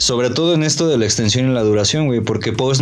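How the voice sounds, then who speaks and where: A man talks with ordinary pitch variation while music plays in the background. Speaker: podcast co-host. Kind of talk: casual chat.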